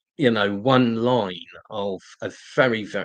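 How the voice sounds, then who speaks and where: Speaking at a very slow pace in a London accent, the voice keeps a fairly even intonation. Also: man. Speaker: political activist live-streamer. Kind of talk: live stream talk and Q&A. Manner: halting, many fillers and repetitions.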